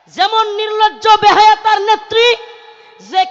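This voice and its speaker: Background noise is noticeable in this clip. The voice belongs to a man. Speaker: Islamic preacher. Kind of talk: religious sermon at a public gathering. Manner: loud, forceful, impassioned.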